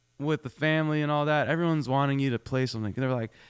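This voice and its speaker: With a Canadian accent, a man talks at a very fast pace on a very clean recording with a silent background. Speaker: country singer-songwriter. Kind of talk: radio interview. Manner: casual, halting with many repeats.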